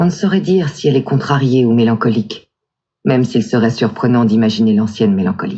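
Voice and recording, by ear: The background stays quiet. A natural voice reads aloud, its intonation lively.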